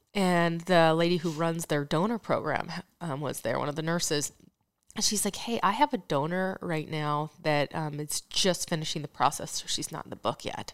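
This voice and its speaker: A woman talks at a moderate pace in a plain, everyday voice. Her pitch is fairly low, with ordinary pitch variation. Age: 40s. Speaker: mother sharing infertility story. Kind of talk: interview testimony.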